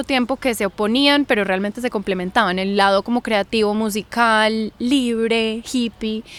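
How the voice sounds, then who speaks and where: With fairly even intonation, a woman with a fairly high pitch speaks at a fairly slow pace in a dry, close sound with no echo. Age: 20s. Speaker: journalist and university student. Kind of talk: podcast interview. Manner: hesitant, with fillers.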